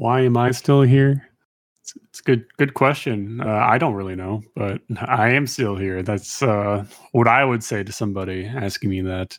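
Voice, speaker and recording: This man has an ordinary speaking voice at medium pitch, with ordinary pitch variation and a moderate pace. His loudness swings widely. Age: 30s. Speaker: podcast host. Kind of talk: casual chat.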